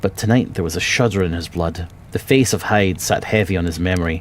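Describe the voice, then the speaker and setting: Over noticeable background noise, a man with a Scottish accent speaks at a moderate pace in a very deep, low pitch with ordinary pitch variation. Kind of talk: audiobook reading.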